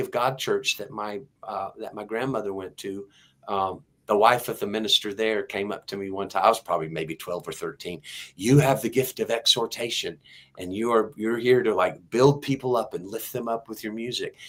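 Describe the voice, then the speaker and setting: Talking at a fairly quick pace with a slight Texas accent, a man at medium pitch shows ordinary pitch variation and big swings in loudness, all in a very clean recording with a silent background. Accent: slight Texas twang. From Texas, Houston. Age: 60s. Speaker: singer-songwriter. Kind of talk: interview testimony. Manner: halting.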